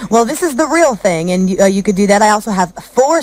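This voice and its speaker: The woman has a plain, everyday voice at a medium pitch. She speaks at a fairly quick pace. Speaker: radio host. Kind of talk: live radio morning show host. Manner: upbeat, friendly.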